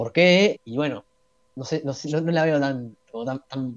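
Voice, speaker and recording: Here a man speaks with a Uruguayan accent, fairly high in pitch and with ordinary pitch variation. The sound is dry and close, with no echo. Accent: Uruguayan Spanish (rioplatense). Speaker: economics student. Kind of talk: casual chat. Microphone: bad internet connection.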